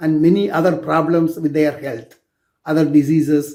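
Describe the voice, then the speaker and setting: A man with a Tamil accent, a dark, mellow tone and a moderate pace. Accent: Indian (Tamil) English. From South India. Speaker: clinical toxicologist. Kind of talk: personal introduction talk. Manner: halting.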